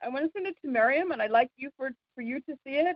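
Fairly quick delivery and lively intonation in an unremarkable speaking voice. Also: woman. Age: 50s. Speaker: community call participant. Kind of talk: casual chat.

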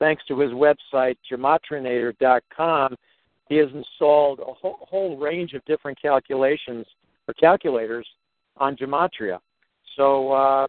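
Pitch varies in an ordinary way in this unremarkable speaking voice. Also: man. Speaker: talk show host. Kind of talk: casual interview.

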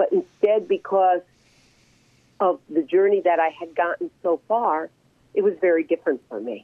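Speaking at a moderate pace, a woman leaves long, frequent pauses. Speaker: author and reverend. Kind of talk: interview.

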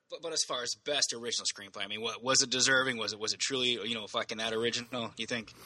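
A man's bright, sharp voice at a very fast pace, with hardly any pauses. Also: medium pitch for a man. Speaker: podcast co-host, movie reviewer. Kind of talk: casual chat, profane banter. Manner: casual, enthusiastic.

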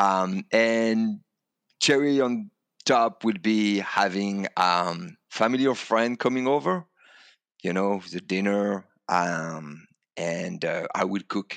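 A man with a French accent, fairly low in pitch, at a very slow pace with ordinary pitch variation against a quiet background. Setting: video call.

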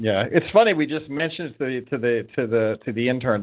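Using a normal speaking voice, a man talks at a fairly quick pace and a medium pitch. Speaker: podcast host. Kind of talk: casual chat. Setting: studio.

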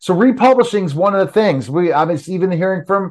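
A man speaks fairly quickly in an ordinary speaking voice, with ordinary pitch variation. The background is quiet. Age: 50s. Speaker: podcast host. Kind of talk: casual interview.

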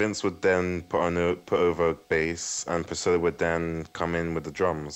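The speaker talks at a fairly slow pace in a London accent. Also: man. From West London, England. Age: 20s. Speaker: guitarist. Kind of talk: radio interview. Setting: Skype call. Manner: halting.

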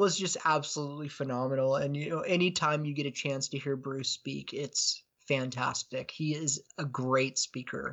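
At a moderate pace, a man with an American accent uses a normal speaking voice at a fairly high pitch, his intonation fairly even. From US Pacific Northwest. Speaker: podcaster and case researcher. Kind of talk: casual chat.

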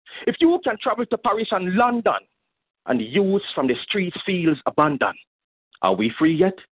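A man's high voice moves at a moderate pace through very wide pitch swings. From Jamaica, Montego Bay. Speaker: poet. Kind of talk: poetry performance. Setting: phone call.

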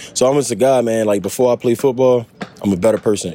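This man talks at a very fast pace. Noticeable background noise runs behind him. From Baltimore. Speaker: football draft prospect. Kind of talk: interview.

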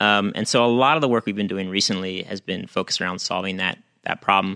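Against a quiet background in a dry, close recording with no echo, an American man speaks very fast with a bright, sharp tone and fairly even intonation. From Pittsburgh, US. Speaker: tech company CTO. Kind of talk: radio interview. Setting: radio studio.

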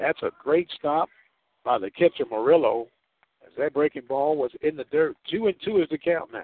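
With an American accent, a man talks at a moderate pace in an ordinary speaking voice, his pitch fairly high and its variation ordinary. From US Midwest. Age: 50s. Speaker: radio sports announcer. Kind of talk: live baseball play-by-play commentary. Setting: radio broadcast from ballpark.

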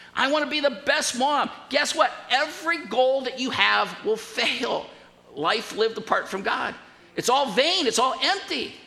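A man talks fairly slowly in an extremely high voice with ordinary pitch variation. There is audible room echo and noticeable background noise. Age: 60s. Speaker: pastor. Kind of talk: sermon.

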